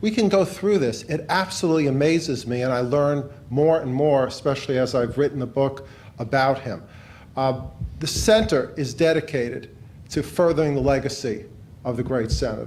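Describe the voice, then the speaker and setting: This man speaks with a New York accent and a fairly high pitch. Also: ordinary pitch variation, moderate pace. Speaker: law professor, director of a public service center. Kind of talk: speech at a book launch event.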